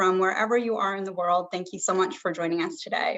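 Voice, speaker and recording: A woman speaks in an ordinary speaking voice with an American accent, a medium pitch and fairly even intonation. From US. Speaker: cleft care program manager. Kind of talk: webinar presentation. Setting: live video stream.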